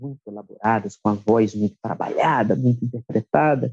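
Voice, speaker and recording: A man's medium-pitched voice with a dark, mellow tone, at a moderate pace, in a dry, close sound with no echo. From Brasília, Brazil. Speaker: musician and songwriter. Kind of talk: interview conversation. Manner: calm, soft-spoken.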